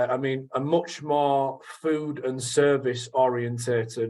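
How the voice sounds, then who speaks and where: A man speaks with a northern English accent. His pitch is fairly high. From northern England, Leeds area. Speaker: sales trainer. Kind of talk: radio interview. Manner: hesitant, many fillers.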